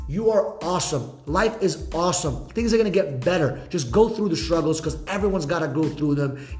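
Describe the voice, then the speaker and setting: With an animated tone and lively intonation, the speaker goes at a fairly quick pace with hardly any pauses over noticeable background noise. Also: man, fairly high pitch for a man. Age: 20s. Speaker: podcast host and entrepreneur. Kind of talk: casual chat.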